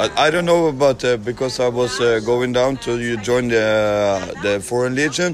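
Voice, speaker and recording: Through noticeable background noise, a man with a Norwegian accent talks at a moderate pace, with medium pitch and ordinary pitch variation. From Norway. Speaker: foreign volunteer fighter. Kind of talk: street interview. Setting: outdoors at a train station. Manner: halting.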